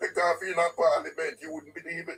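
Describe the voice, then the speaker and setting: A man's voice with a Jamaican accent. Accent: Jamaican, Patois features. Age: 70s. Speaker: caller. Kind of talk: political call-in chat. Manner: animated.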